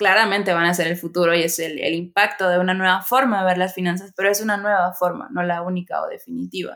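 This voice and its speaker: Over a silent background in a very clean recording, a woman with a medium pitch rushes along at a very fast pace with hardly any pauses and fairly even intonation. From Venezuela. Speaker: online education course director. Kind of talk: casual interview.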